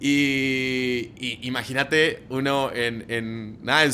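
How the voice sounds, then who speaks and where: A man with an Argentine accent speaks at a fairly high pitch. His tone is animated, bright and sharp. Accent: Argentine Spanish (voseo). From Argentina. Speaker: marketing director. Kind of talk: casual interview.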